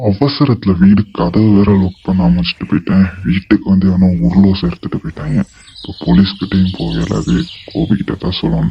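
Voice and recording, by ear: A man performs a cartoonish character voice, very deep and low in pitch. He talks at a moderate pace with very wide pitch swings.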